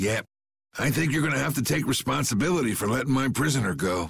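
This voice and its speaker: A man puts on a raspy character voice at a medium pitch. He rattles along at a very fast pace with very even loudness. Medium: video game. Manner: gruff, plainspoken.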